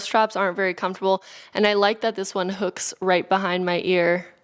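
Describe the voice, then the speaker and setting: A woman with a Californian accent, medium in pitch, at a very fast pace. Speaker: beauty and wellness YouTuber. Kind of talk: product review.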